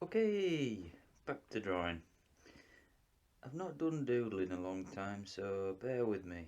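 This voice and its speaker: A man with a Yorkshire accent talks at a fairly slow pace. He leaves long, frequent pauses. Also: fairly low pitch for a man, lively intonation. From Yorkshire, northern England. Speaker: artist. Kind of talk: tutorial. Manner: casual.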